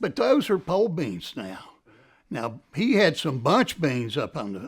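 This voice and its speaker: A man's very slow speech with an Appalachian accent, very wide pitch swings and vocal fry, on a very clean recording with a silent background. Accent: Appalachian Southern US. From Ashe County, North Carolina. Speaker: former farm worker. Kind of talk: documentary interview answer. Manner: casual, reminiscing.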